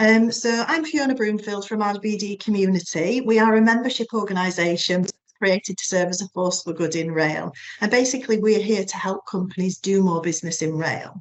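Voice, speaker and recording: A woman at a medium pitch with a Yorkshire accent, fairly quick in pace, with ordinary pitch variation. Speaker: webinar presenter for a rail business membership organisation. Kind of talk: business webinar presentation. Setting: online webinar. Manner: hesitant, many fillers (um).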